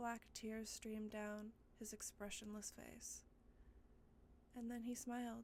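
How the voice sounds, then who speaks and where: Very slow and monotone, with flat intonation and long, frequent pauses, the speech comes over noticeable background noise. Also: woman, fairly high pitch for a woman. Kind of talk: ASMR spooky story reading. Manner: soft, intimate, sleep-inducing delivery.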